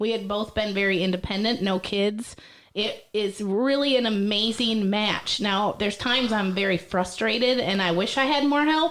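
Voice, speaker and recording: A woman with an American accent speaks in an unremarkable speaking voice, fairly high in pitch, at a moderate pace. Her pitch varies in an ordinary way and her loudness stays very even. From Michigan (Millington, small farm town). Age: 30s. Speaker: stand-up comedian. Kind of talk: casual chat.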